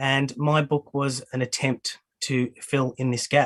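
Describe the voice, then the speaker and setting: The sound is dry and close, with no echo. A man talks in an Australian accent. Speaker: academic. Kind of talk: lecture. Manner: halting.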